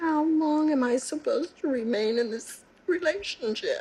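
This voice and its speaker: A high-pitched woman speaks at a moderate pace, her pitch swinging very widely. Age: 60s. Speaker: prison inmate. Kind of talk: testimony.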